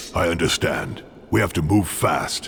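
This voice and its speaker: A man puts on a character voice with a very deep, low pitch at a moderate pace. Clear background noise sits behind him. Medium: video game. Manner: gruff, terse.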